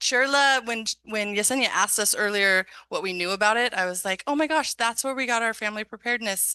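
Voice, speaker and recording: Dry and close with no echo, the sound has a quiet background. A woman speaks in a bright, sharp tone at medium pitch with ordinary pitch variation. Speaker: school district program specialist hosting workshop. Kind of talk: community workshop presentation. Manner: fast.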